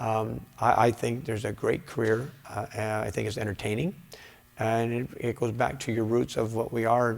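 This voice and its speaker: Fairly even intonation at a middling speed. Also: man, medium pitch for a man. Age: 60s. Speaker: karate instructor and former professional fighter. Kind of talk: interview. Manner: halting, many fillers and repeats.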